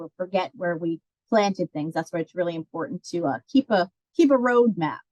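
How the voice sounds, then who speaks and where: Speaking in a plain, everyday voice, a woman talks at a moderate pace with fairly low pitch and ordinary pitch variation, in a dry, close sound with no echo. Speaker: master gardener coordinator. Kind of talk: webinar presentation. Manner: many fillers.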